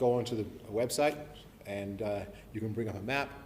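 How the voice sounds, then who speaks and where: The voice belongs to a man. Room echo can be heard around it. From New Zealand, born Invercargill, left age seven, grew up abroad. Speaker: professor. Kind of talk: public lecture. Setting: evening talk to an audience. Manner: hesitant, many fillers and restarts.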